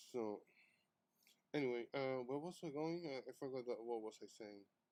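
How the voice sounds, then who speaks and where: This man has a dark, mellow tone at a medium pitch, speaking in a non-native accent at a moderate pace with ordinary pitch variation. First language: not English. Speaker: artist streamer. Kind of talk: live stream chat while drawing. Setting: live stream. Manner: halting, many fillers.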